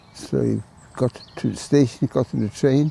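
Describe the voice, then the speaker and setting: A man talks at a fairly slow pace and a medium pitch. The sound is dry and close with no echo, though background noise is noticeable. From Poland. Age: 90s. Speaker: Holocaust survivor. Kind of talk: testimony. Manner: halting.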